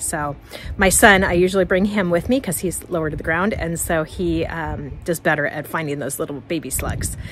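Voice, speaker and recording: Noticeable background noise behind a woman's fairly low-pitched voice. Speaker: gardening vlogger. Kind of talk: casual walkthrough vlog. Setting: outdoors in garden.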